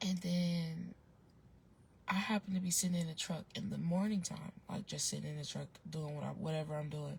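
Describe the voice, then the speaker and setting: Soft-spoken and somewhat breathy, a woman speaks in a fairly low pitch with fairly even intonation. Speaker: online advice vlogger. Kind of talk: casual storytelling vlog. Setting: outdoors, in a parked car with windows down. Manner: soft-spoken, talking low.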